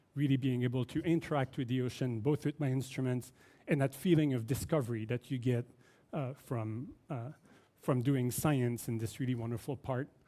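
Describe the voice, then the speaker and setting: In a Quebec accent, a man with a dark, mellow tone and medium pitch talks at a moderate pace with fairly even intonation. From Quebec, Canada. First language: French. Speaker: oceanography professor. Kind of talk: keynote lecture.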